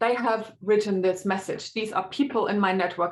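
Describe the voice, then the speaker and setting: Ordinary pitch variation runs through the speech of a woman with a German accent. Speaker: linguistics researcher. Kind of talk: academic webinar talk. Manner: hesitant with many fillers.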